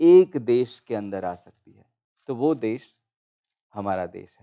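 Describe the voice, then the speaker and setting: A man with a Gujarati accent, a medium pitch and a dark, mellow tone, in a dry, close sound with no echo. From India, Gujarat. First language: Gujarati (speaking Hindi). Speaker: panel speaker. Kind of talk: panel discussion. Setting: auditorium, online broadcast.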